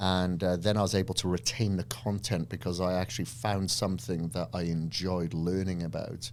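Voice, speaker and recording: Very deep and low, a man's voice carries a Welsh accent, vocal fry and ordinary pitch variation. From Wales. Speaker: fitness entrepreneur and trainer. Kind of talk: podcast interview.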